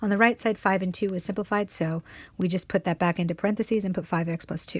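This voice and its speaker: A woman speaks at a very fast pace and medium pitch, somewhat breathy, with fairly even intonation, in a dry, close sound with no echo and a very clean recording with a silent background. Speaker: math teacher. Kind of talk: tutorial.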